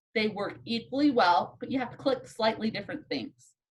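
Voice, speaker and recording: A woman's unremarkable speaking voice, fairly high in pitch, with lively intonation. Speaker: statistics instructor. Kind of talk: lecture. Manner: casual.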